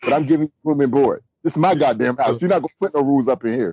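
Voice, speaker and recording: A man talks at a very fast pace in an animated tone, his fairly high pitch moving with lively intonation. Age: 30s. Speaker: podcast host. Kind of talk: casual chat.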